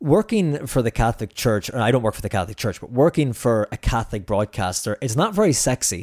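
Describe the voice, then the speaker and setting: A very fast-talking man with an Irish accent, on a very clean recording with a silent background and a dry, close sound with no echo. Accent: Irish (Clare). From Ireland, Ennis, County Clare. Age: 30s. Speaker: journalist. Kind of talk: casual interview chat. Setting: studio.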